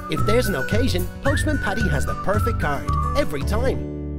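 At a moderate pace, a man talks as music plays in the background. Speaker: voice-over artist. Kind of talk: TV commercial read.

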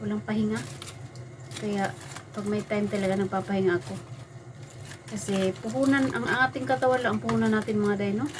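With long, frequent pauses, a woman speaks in very wide pitch swings over noticeable background noise. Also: medium pitch for a woman, fairly quick pace. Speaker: vlogger. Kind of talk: casual vlog talk. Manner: chatty, casual.

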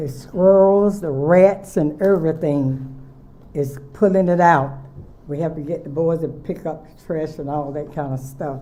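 Speaking with a North Carolina accent, a woman has a very deep, low pitch and a dark, mellow tone, a fairly slow pace, ordinary pitch variation and big swings in loudness, with audible room echo. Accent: Southern US (North Carolina). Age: 80s+. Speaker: nonprofit director. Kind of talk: public comment. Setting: city council meeting.

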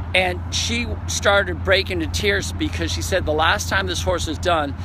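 A man with a very deep, low pitch at a moderate pace, with noticeable background noise and a dry sound with no echo. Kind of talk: casual vlog chat. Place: waterside. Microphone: phone near.

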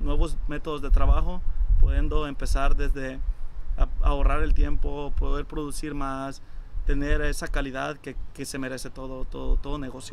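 A man at a fairly slow pace, with light background noise. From El Salvador. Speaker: restaurant co-owner. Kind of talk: interview answers. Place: garden.

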